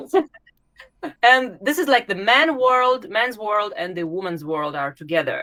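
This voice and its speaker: With a Russian accent, a woman speaks at a fairly high pitch and fairly slow pace, her bright, sharp tone sweeping through very wide pitch swings. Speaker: YouTube channel host, former recruiter. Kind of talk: interview. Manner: halting, many hesitations.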